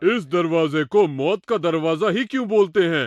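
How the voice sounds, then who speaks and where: A man's cartoonish character voice, high-pitched, at a moderate pace against a quiet background. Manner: authoritative.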